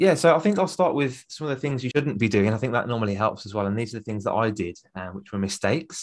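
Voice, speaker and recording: A man talks with lively intonation at a medium pitch. He has a plain, everyday voice, and the background is quiet. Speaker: public speaking coach. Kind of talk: interview conversation.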